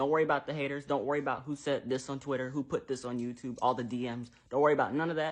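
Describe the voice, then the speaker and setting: A fairly high-pitched man, animated and very fast, with ordinary pitch variation against a quiet background. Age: 20s. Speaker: TikTok creator. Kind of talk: social media commentary.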